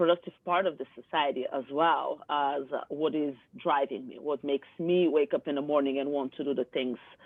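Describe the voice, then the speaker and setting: The speaker has a Bulgarian accent and talks at a moderate pace. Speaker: yoga teacher and coach. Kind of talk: interview chat. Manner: direct, forceful; halting, many fillers.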